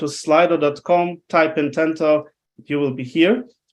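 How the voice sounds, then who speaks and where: Speaking at a fairly slow pace in a non-native accent, a man is heard against a quiet background. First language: not English. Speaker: webinar presenter. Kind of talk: live presentation. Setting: online webinar with screen share. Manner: halting, many fillers.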